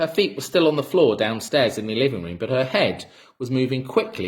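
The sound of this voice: The voice is an unforced reading voice. It stays that way throughout.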